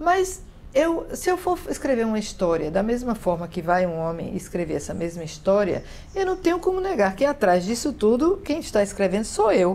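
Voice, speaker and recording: A woman talks at a moderate pace in a fairly high voice, with very wide pitch swings. Background noise is noticeable. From Northeast Brazil, Paraíba. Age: 60s. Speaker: writer and literature professor. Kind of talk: interview. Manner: hesitant, many fillers.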